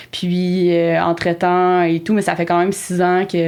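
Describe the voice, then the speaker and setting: Her intonation monotone and flat, a woman speaks at a moderate pace in a fairly low pitch. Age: 20s. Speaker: horticulture teacher and project manager. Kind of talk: podcast interview.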